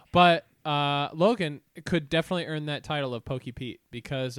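A man with an Ohio accent speaks with ordinary pitch variation. The recording is very clean and dry, close with no echo, against a silent background. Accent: Midwestern American (Ohio). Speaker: podcast co-host. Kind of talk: casual chat.

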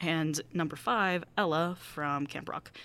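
Very deep, low-pitched woman's voice with a Midwestern American accent. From US Midwest. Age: 20s. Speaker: podcast host, college student. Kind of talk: podcast monologue and interview.

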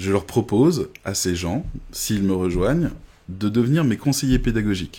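In a very clean recording with a silent background, a man with fairly low pitch and a dark, mellow, somewhat breathy tone speaks at a moderate pace with lively intonation. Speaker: online course creator. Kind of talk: live stream sales pitch. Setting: live video stream. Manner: hesitant, many fillers.

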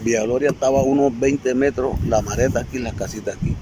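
A man at medium pitch and moderate pace, fairly even in intonation, over noticeable background noise. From La Boquilla, Cartagena, Caribbean coast of Colombia. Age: 70s. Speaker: community elder. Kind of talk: testimony.

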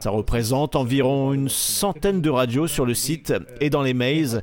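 The voice moves at a moderate pace with ordinary pitch variation, over noticeable background noise. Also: man. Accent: German. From southwest Germany, near Freiburg. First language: German (speaking French). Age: 30s. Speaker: theme park event designer. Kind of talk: interview.

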